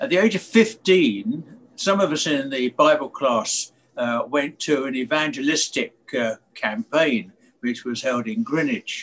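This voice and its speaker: Speaking at a fairly slow pace, a man with a fairly high pitch makes very wide pitch swings. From London. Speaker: church member. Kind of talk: testimony.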